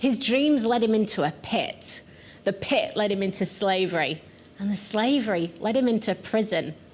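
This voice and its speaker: A woman speaks in a strong Yorkshire accent. Her pitch is medium, and her intonation is lively. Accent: thick Yorkshire. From northern England, Yorkshire. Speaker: pastor. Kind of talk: sermon.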